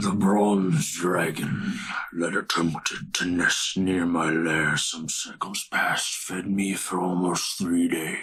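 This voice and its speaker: A man puts on a character voice that is gravelly and breathy. His pitch is very deep and low. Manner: menacing, predatory.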